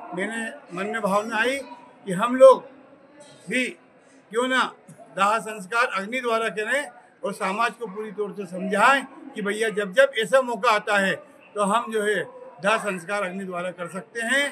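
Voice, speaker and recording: Through noticeable background noise, a man with a high pitch speaks in a raised, projected voice with fairly even intonation and long, frequent pauses. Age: 70s. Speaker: event organiser. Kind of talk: interview at an event.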